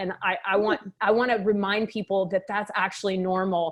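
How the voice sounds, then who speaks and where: A woman speaks with a slight Texas accent at a medium pitch. She talks at a fairly quick pace. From Texas, Waco. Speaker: med spa owner and doctor. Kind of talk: interview.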